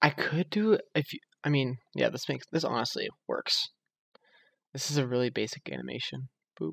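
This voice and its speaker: A man speaks quietly at a moderate pace, with long, frequent pauses. The sound is dry and close, with no echo. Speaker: game programming tutorial creator. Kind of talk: screen-recorded coding tutorial. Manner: quiet, subdued speaking; casual with many fillers.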